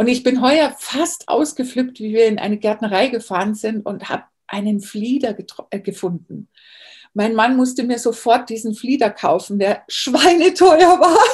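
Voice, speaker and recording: A plain, everyday voice speaks at a fairly slow pace with lively intonation. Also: woman, fairly high pitch for a woman. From Bavaria, Germany. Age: 40s. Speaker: herbalist. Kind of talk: interview.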